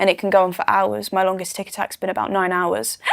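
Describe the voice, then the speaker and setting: Recorded very cleanly against a silent background, a woman with a medium-pitched voice talks at a moderate pace in a dry, close sound with no echo. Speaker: person with Tourette syndrome. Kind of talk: interview answer. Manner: speech broken by involuntary vocal tics and swearing.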